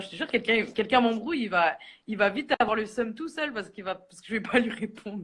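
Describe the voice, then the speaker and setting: A woman talks at a very fast pace. Her fairly high voice has lively intonation. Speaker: social media personality. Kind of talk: casual chat. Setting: live stream.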